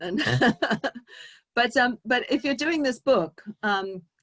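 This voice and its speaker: With a strong English accent, a woman speaks at a moderate pace using lively intonation. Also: dry, close sound with no echo. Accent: English, still strong after decades in US. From England, Brixton, south London. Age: 50s. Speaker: speaker sharing personal story at synagogue. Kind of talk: inspirational talk. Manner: halting, many fillers and restarts.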